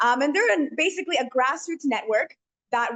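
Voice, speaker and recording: With a high voice, a woman talks at a fairly quick pace. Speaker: panelist at a community center. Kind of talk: webinar talk. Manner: fast; hesitant, many fillers.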